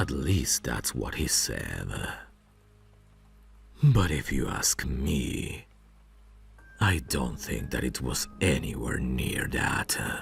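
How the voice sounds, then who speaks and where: In a put-on character voice, a man speaks very slowly with a very deep, low pitch. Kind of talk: ASMR roleplay audio.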